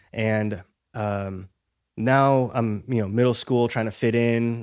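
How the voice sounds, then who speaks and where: Speech in an American accent comes at a fairly slow pace on a very clean recording with a silent background. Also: man. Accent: American English, learned by age six. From Ukraine, moved to US around age four. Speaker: health coach. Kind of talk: podcast interview. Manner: halting, many restarts and fillers.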